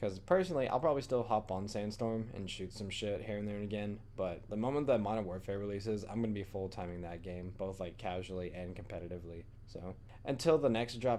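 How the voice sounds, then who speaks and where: Audible room echo surrounds a man's dark, mellow voice. He talks at a very fast pace with ordinary pitch variation. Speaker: gaming YouTuber. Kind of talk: video commentary. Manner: casual, filler-heavy.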